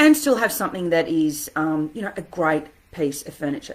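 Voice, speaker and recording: The speaker talks at a fairly quick pace with an Australian accent. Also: woman. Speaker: interior designer. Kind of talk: live stream talk. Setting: standing home office desk. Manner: fast.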